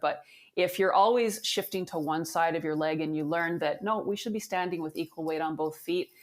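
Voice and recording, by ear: A woman speaks at a low pitch and a moderate pace. Her pitch varies in an ordinary way.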